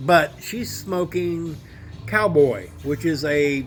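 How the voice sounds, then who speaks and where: A man speaks at a very slow pace in a fairly high pitch. His pitch varies in an ordinary way, with music playing in the background. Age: middle-aged. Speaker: vaping vlogger. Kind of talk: casual monologue. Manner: rambling, halting.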